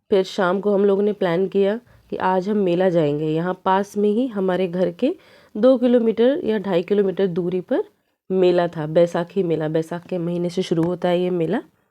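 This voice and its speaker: A woman speaks at a fairly slow pace in a dark, mellow tone, her pitch varying in an ordinary way. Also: medium pitch for a woman. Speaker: family vlogger. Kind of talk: vlog narration.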